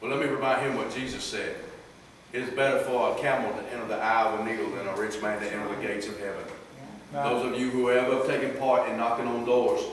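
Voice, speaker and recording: Strong room echo and light background noise surround a man talking at a very fast pace. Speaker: lay preacher. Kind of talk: sermon. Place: hall. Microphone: camera far.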